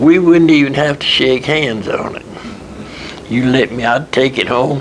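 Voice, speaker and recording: Noticeable background noise sits behind a man speaking at a fairly slow pace and a fairly high pitch. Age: 80s+. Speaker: retired textile machinery businessman. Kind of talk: interview answer.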